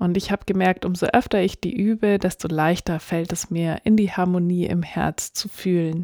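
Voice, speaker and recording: In a very clean recording with a silent background and a dry, close sound with no echo, a woman speaks with fairly even intonation in a dark, mellow, calm, soothing tone. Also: medium pitch for a woman. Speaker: podcast host and meditation guide. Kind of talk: guided meditation. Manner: slow, calm, soothing; gentle, soft-spoken, with pauses.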